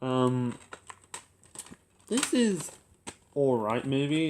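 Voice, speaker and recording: A man speaks at a medium pitch. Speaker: YouTube movie reviewer. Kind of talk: casual collection video talk. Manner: halting, stuttering.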